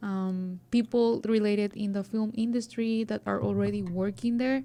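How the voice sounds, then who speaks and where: A woman with a Spanish accent speaks at a fairly slow pace in a dark, mellow tone and a fairly high pitch, on a very clean recording with a silent background. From Mexico, coast. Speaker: student journalist and podcaster. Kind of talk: interview. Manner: halting.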